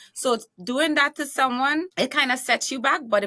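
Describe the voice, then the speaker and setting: Recorded very cleanly against a silent background, a woman talks at a moderate pace in a bright, sharp tone. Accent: American. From Trinidad and Tobago, rural. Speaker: talk show host and author. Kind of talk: podcast interview. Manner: animated.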